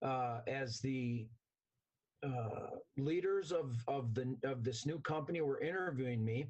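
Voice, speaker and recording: Somewhat breathy, the voice moves at a fairly slow pace with very even loudness and ordinary pitch variation. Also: man, medium pitch for a man. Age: 60s. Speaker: interview guest, company employee. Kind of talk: interview. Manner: animated.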